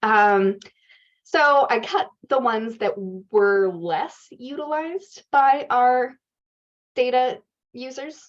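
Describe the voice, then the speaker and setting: A woman speaks at a high pitch with very wide pitch swings. She leaves long, frequent pauses. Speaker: research organization CEO presenting a dataset. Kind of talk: workshop Q&A answer. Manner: fast.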